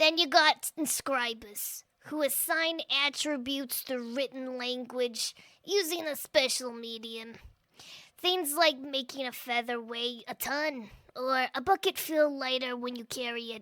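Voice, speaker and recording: Using a put-on character voice, a woman speaks at a high pitch and a fairly slow pace. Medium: audio drama. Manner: blunt, casual, sardonic.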